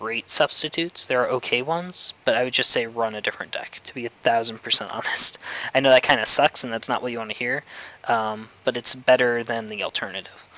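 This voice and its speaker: A man's medium-pitched voice at a fairly quick pace, dry and close with no echo, over noticeable background noise. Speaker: gaming video creator. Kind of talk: casual commentary. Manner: hesitant with fillers.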